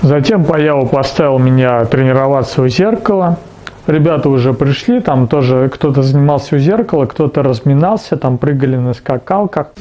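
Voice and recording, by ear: A man with a dark, mellow tone talks at medium pitch and a moderate pace, his intonation lively over faint background noise.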